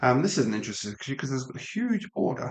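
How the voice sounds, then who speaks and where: In a Midlands accent, a somewhat breathy man talks at a very fast pace. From English Midlands. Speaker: LEGO live stream builder. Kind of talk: live stream building commentary. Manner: casual, hesitant with many ums.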